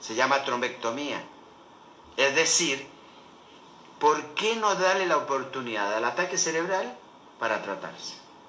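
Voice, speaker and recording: A man with a fairly high voice and lively intonation, long, frequent pauses and audible room echo. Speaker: doctor. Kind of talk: lecture. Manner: fast.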